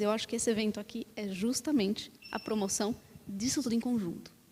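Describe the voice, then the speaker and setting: This woman's voice has a dark, mellow tone, fairly high pitch and a somewhat breathy quality. She talks at a moderate pace with fairly even intonation. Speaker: panelist, design researcher at a tech company. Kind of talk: panel discussion. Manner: hesitant, many fillers.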